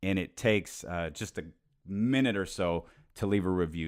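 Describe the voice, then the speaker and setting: In a very clean recording with a silent background, a man speaks in a very deep, low voice with ordinary pitch variation. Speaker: sports podcast host, former radio host. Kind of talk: solo sports podcast monologue. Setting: home podcast studio, alone. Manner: fast.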